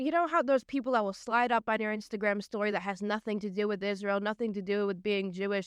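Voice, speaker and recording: In an American accent, a woman speaks at a very fast pace with hardly any pauses, medium pitch and ordinary pitch variation, the sound dry and close with no echo over a quiet background. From Long Island, New York. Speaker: DJ and TikTok creator. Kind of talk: podcast interview answer.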